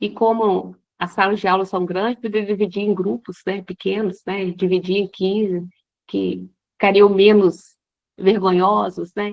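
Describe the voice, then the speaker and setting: A woman talks fairly slowly at a medium pitch, her intonation monotone and flat. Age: 60s. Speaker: teacher, workshop participant. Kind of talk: audience question in online workshop. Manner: halting.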